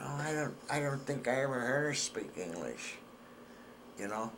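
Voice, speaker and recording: The speaker has a northeastern Pennsylvania accent, lively intonation and a moderate pace, with long, frequent pauses. There is audible room echo and noticeable background noise. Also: man. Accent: northeastern Pennsylvania American. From northeastern Pennsylvania, Hazleton. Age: 80s+. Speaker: war veteran.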